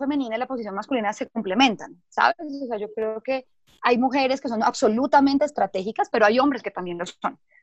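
Heard in a dry, close sound with no echo, a woman speaks in a high voice with ordinary pitch variation. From Colombia, Bogotá. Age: 30s. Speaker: corporate communications manager. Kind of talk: interview. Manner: halting, with frequent repetitions and fillers.

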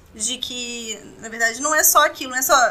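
High-pitched female voice against noticeable background noise. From Vitória, Espírito Santo, Brazil. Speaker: oral surgery resident. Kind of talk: interview.

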